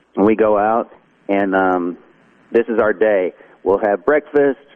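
A man's fairly low voice in a Southern US accent, very slow, with ordinary pitch variation. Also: long, frequent pauses, very even loudness. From North Carolina. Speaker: country songwriter and musician. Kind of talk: casual interview.

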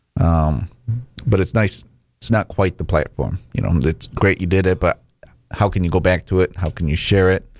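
Against a silent background in a very clean recording, a man speaks with a Michigan accent and a very deep, low pitch. His pace is moderate, with ordinary pitch variation. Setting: radio studio. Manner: hesitant, filler-heavy.

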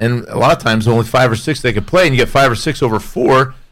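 With an American accent, a man talks at a fairly quick pace in an ordinary speaking voice with ordinary pitch variation. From Connecticut. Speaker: radio co-host and former football player. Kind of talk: casual radio panel chat.

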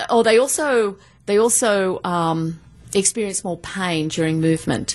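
A woman speaks with an Australian accent. Her pace is moderate and her intonation lively. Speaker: professor. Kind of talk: studio interview. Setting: studio.

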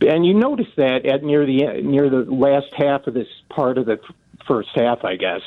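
The pace here is moderate. An American accent comes through. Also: man. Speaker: caller. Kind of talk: call-in sports talk radio. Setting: phone call.

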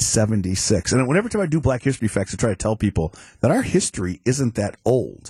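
A man's somewhat breathy voice with an American accent, dark and mellow in tone, at a fairly quick pace with lively intonation, dry and close with no echo over a quiet background. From Chicago. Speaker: former judge, guest co-host. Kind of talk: casual chat. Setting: radio studio.

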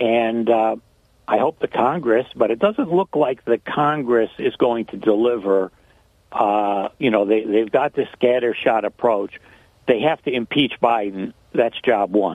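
In an unremarkable speaking voice, a man at a medium pitch talks at a fairly slow pace with ordinary pitch variation. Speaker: caller. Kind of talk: casual talk radio call. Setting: phone call.

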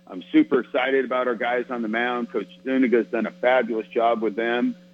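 There is music in the background as a man speaks. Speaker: college baseball head coach. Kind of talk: interview. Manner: animated.

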